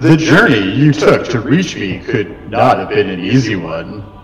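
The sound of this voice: Putting on a character voice, a man with a medium pitch talks at a moderate pace through a clear echo and clear background noise.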